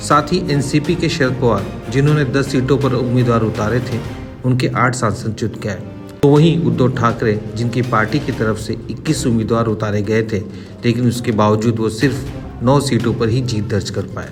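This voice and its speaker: Music behind a man whose pitch varies in an ordinary way. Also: medium pitch for a man. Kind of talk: news commentary narration.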